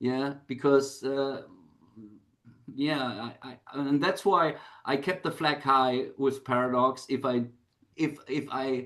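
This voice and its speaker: Against a quiet background, a man at a fairly high pitch speaks at a very slow pace with fairly even intonation and long, frequent pauses. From Germany. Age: 60s. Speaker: rock musician. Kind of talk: interview. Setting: video call. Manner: halting.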